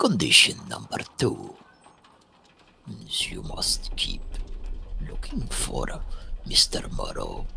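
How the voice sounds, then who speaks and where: A put-on character voice from a man, delivered fairly slowly. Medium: game stream. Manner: slow, formal, refers to himself in third person.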